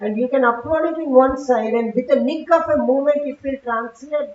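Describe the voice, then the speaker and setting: With a Telugu accent, a woman talks in a high voice with ordinary pitch variation. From South India. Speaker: conference speaker, technology executive. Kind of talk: conference talk. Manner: conversational, frequent fillers.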